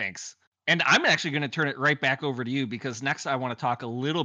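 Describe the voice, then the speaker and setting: With an Upper Midwest accent, a man speaks in a bright, sharp tone at a fairly quick pace, with fairly even intonation over a quiet background. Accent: Upper Midwest American. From Wisconsin. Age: 30s. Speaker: podcast host. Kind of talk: casual chat. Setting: video call. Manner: talkative.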